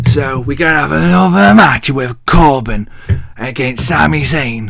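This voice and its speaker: With an English accent, a man speaks at medium pitch with lively intonation, with noticeable background noise and audible room echo. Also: fairly slow pace. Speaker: wrestling vlogger. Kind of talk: casual show recap. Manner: animated.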